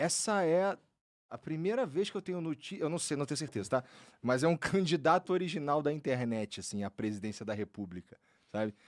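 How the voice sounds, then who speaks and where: A man talks at a fairly quick pace with a fairly high pitch and very wide pitch swings. The recording is very clean, with a silent background. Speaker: podcast host. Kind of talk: podcast interview. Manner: halting.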